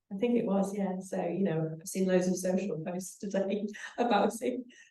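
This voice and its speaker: A woman with a Liverpool accent talks at a fairly slow pace, her pitch medium and her intonation fairly even. Her tone is dark and mellow, and room echo is audible. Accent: Liverpool (Scouse) English. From northern England, Liverpool. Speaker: panelist, former women's football player. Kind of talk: panel discussion.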